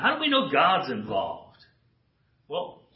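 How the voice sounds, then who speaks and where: A man speaks with audible room echo. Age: 60s. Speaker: guest preacher. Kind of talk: sermon. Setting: church with congregation. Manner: animated.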